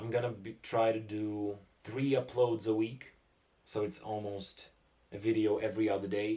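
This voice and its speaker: The speaker's voice is somewhat breathy, with fairly even intonation and a moderate pace. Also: man. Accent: Russian. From Russia. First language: Russian. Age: 20s. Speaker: musician and producer. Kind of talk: casual vlog talk to camera.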